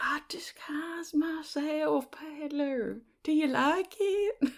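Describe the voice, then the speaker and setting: A put-on character voice from a woman, high in pitch and very slow in pace. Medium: actual play. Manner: affected, self-satisfied.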